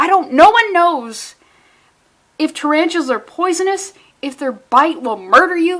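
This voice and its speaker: Her intonation is lively as she talks. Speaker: comic book reviewer. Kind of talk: casual comic review. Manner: fast; animated.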